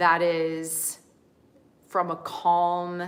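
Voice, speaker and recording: The words come very slowly from a woman. She speaks with a fairly low pitch. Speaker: spiritual coach and yoga teacher. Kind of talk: spiritual talk to camera. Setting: livestream. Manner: slow and deliberate.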